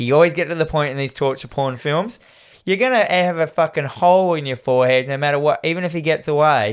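At a very fast pace, a man with a fairly high pitch and ordinary pitch variation talks on a very clean recording with a silent background. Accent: Australian. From Australia. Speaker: podcast host. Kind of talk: casual chat, horror movie discussion.

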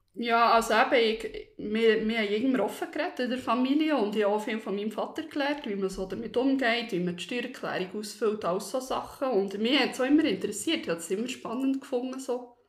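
Over noticeable background noise, a woman talks at a very fast pace with hardly any pauses. Her pitch is fairly high. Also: ordinary pitch variation. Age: 30s. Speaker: office worker sharing personal debt story. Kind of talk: personal testimony interview. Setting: studio, seated next to host. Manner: hesitant, many fillers.

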